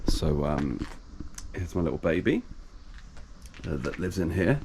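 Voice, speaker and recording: A man speaks softly with an English accent. His pitch is very deep and low. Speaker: DIY video creator. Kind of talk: tutorial. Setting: outdoors among garages. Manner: soft-spoken; halting, many fillers.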